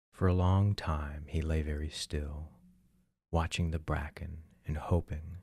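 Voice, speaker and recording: A somewhat breathy man with a very deep, low pitch, speaking in a monotone, flat intonation at a fairly slow pace in a very clean recording with a silent background. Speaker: ASMR narrator. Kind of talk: sleep story narration. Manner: soft-spoken, slow, calming.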